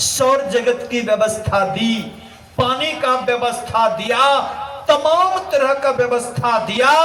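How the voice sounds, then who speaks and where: A raised, projected voice with ordinary pitch variation carries over noticeable background noise and audible room echo. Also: man, extremely high pitch for a man. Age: 80s+. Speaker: spiritual guru. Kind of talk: sermon.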